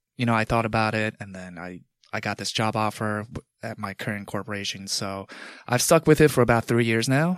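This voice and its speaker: An unremarkable speaking voice from a man with an American accent, fairly low in pitch with ordinary variation. The sound is dry and close with no echo, on a very clean recording with a silent background. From New York, Long Island. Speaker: corporate consultant and bodybuilder. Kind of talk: casual chat.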